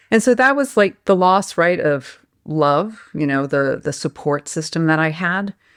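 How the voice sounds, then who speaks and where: A woman with a plain, everyday voice, fairly low in pitch and lively in intonation, at a fairly slow pace on a very clean recording with a silent background. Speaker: life coach and healer. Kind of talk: podcast interview answer.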